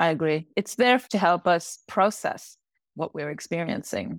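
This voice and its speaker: Speaking at a moderate pace, a woman with an ordinary speaking voice and fairly low pitch comes through in a dry, close sound with no echo. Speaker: professor and creativity researcher. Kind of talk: reading aloud a prepared essay on imagination, then interview answers.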